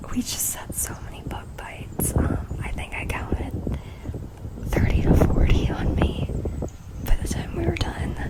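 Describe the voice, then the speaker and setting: A woman whispers at a fairly slow pace, her loudness swinging widely. Noticeable background noise sits behind her. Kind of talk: casual talk to camera. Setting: studio microphone recording. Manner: whispered, soft-spoken.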